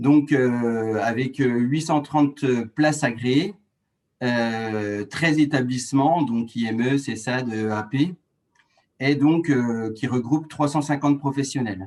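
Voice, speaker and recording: Very slow speech in a strong Franche-Comté accent carries ordinary pitch variation. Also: man. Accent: strong rural Doubs (Franche-Comté). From France, rural Doubs (Franche-Comté). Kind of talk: webinar presentation. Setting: online webinar. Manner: hesitant, many fillers and restarts.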